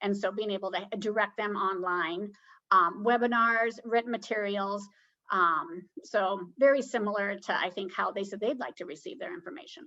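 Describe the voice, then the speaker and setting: Speaking in a bright, sharp tone, a woman keeps a medium pitch, ordinary pitch variation and a moderate pace. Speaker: public health presenter. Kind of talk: webinar presentation.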